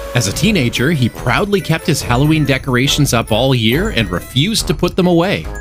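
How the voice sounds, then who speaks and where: A man at a medium pitch with very wide pitch swings, a fairly quick pace, and music in the background. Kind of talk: narration of animatronic backstories.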